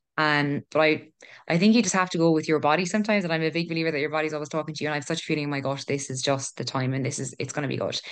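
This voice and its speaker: With a Kerry accent, a woman talks at a very fast pace in a very deep, low pitch. Her pitch varies in an ordinary way, and the background is quiet. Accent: Kerry Irish. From Ireland, Killarney, County Kerry. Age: 20s. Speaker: health researcher and mental health business founder. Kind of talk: casual interview chat.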